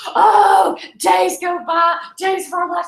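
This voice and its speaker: A woman's voice with very wide pitch swings. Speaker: country singer-songwriter. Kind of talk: interview, casual storytelling. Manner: animated.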